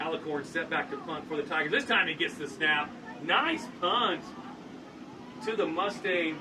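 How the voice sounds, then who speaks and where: The speaker moves at a moderate pace with ordinary pitch variation and long, frequent pauses, while audible room echo and noticeable background noise fill the recording. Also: man, high pitch for a man. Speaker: play-by-play sports commentator. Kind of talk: live commentary.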